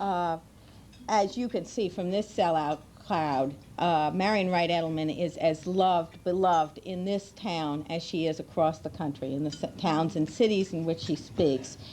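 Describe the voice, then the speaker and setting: A woman speaks at a moderate pace in a fairly low pitch, her dark, mellow tone carrying a strong New York accent and ordinary pitch variation. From New York State. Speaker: children's policy advocate. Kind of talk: formal introduction speech. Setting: luncheon event with large audience.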